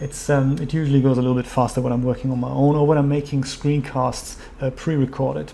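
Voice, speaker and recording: A man's medium-pitched, monotone, flat delivery at a very fast pace with hardly any pauses. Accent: German. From Germany. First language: German. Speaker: 3D software tutorial youtuber. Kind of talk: live-streamed tutorial. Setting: home studio live stream. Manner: casual, with fillers.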